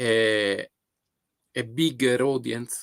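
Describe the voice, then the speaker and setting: A man in an Italian accent, dry and close with no echo. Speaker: photographer. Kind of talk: live stream monologue. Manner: halting, many fillers.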